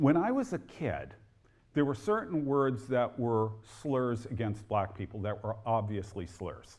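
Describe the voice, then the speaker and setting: A man at a medium pitch with a New Jersey accent, ordinary pitch variation, a fairly slow pace and audible room echo. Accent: New Jersey American. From New Jersey, near Newark. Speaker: historian and author. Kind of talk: lecture.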